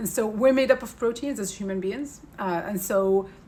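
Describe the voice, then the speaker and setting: A woman's medium-pitched voice with lively intonation. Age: 40s. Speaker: beauty and wellness educator. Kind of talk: tutorial. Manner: fast.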